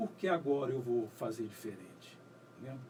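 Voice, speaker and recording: This man's voice is dark, mellow and somewhat breathy. His pitch swings very widely. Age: 60s. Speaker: writer and poet. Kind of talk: radio interview. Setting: radio studio.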